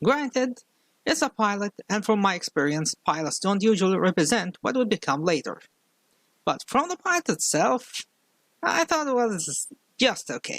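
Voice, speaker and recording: A man speaks at a moderate pace with a strong non-native accent, his pitch high and swinging very widely. The sound is dry and close, with no echo. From outside the US. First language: not English. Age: 30s. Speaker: YouTube commentator. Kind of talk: video commentary.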